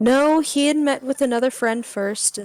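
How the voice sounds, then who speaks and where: Woman's voice with ordinary pitch variation, dry and close with no echo, against noticeable background noise. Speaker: game master. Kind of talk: tabletop roleplay game.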